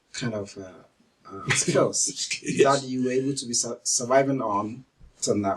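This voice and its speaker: Medium-pitched male speech with a plain, everyday voice, ordinary pitch variation and moderate pacing. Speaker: interviewer, men's health channel host. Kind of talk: interview questions.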